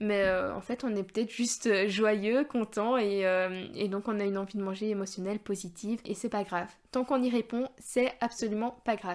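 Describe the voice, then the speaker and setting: Against a very clean recording with a silent background, a woman speaks with fairly even intonation and hardly any pauses. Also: fairly high pitch for a woman, moderate pace. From Belgium. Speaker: dietitian. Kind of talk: podcast talk. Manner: casual, hesitant.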